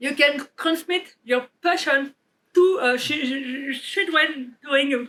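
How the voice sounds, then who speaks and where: Very slowly, a woman with a French accent speaks in a high, bright, sharp voice. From France. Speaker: developer advocate. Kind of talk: conference keynote.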